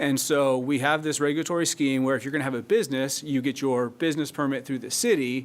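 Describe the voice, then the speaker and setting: At a very fast pace with hardly any pauses, a man speaks at a fairly high pitch with fairly even intonation. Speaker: city staff attorney presenting ordinance. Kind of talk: public meeting presentation.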